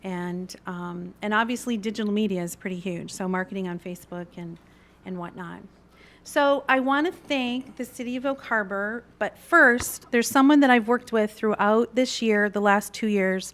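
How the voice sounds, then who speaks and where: A woman with a fairly high pitch talks at a moderate pace in an unremarkable speaking voice. Her loudness swings widely. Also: ordinary pitch variation. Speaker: chamber of commerce director. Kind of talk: presentation to city council. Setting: council chamber meeting.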